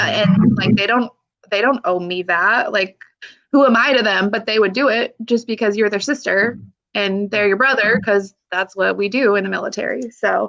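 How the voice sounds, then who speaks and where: Here a woman speaks at a fairly high pitch. Hers is an unremarkable speaking voice. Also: ordinary pitch variation, moderate pace. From United States, Pacific Northwest. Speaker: army veteran, single mother. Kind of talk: interview answer. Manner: emotional, candid.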